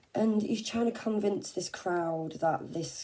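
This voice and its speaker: A woman speaks in an English accent. Her tone is dark and mellow. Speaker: tarot reader. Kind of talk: tarot reading. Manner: casual, halting with fillers.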